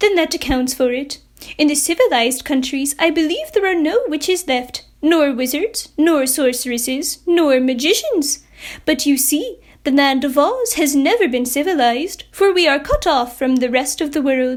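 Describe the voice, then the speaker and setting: Using a put-on character voice, a woman talks at a moderate pace with a high pitch. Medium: read story.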